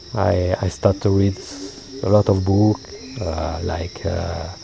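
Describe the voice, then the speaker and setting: A man with a French accent speaks at a very slow pace and a very deep, low pitch. Noticeable background noise runs underneath. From France. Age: 50s. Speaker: payroll accountant, Buddhist practitioner. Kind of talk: interview. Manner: halting.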